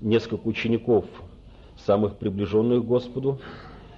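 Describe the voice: The clip is plain reading aloud.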